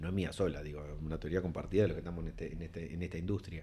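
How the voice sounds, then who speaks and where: A man speaks with a Uruguayan accent. Audible room echo surrounds his voice. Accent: Rioplatense Spanish (Uruguayan). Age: 40s. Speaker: real estate developer. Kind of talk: interview. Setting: improvised studio in an office.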